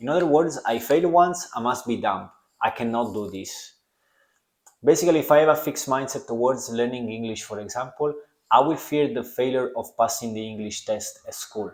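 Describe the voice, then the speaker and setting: A man speaks in a strong Italian accent at a medium pitch with ordinary pitch variation and a fairly quick pace. His loudness swings widely, and the recording is very clean with a silent background. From Italy. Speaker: podcast host. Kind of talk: self-help podcast monologue.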